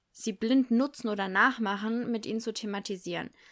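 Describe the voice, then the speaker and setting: The voice has an animated tone, a moderate pace and ordinary pitch variation. The recording is very clean, with a silent background. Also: woman. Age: 20s. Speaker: primary school teacher, podcast host. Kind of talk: solo podcast monologue. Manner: animated, laughing often.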